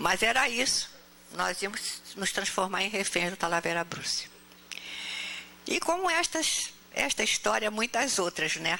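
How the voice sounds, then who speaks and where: Over noticeable background noise, a woman with a medium-pitched voice speaks at a fairly slow pace with long, frequent pauses, very even loudness and lively intonation. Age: 80s+. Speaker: spiritist speaker. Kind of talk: talk to audience. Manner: animated storytelling.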